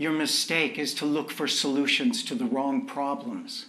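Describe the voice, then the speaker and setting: A man's put-on character voice, fairly high in pitch, with very wide pitch swings, a moderate pace and light background noise. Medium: short film. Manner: calm, gentle.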